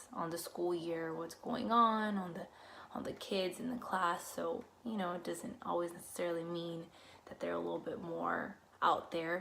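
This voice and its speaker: Speaking in a Spanish accent, a woman uses a medium pitch with ordinary pitch variation at a moderate pace. Audible room echo is present. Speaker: student teacher. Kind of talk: casual talk to camera about experiences. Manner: many fillers and self-corrections.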